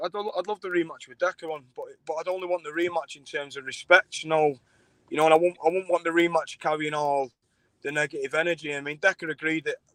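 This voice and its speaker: A man with a Manchester accent at a very fast pace, high-pitched, in a dry, close sound with no echo. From Manchester, England. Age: 30s. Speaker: fight show promoter and former fighter. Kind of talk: casual interview. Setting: live stream. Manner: halting, repetitive fillers.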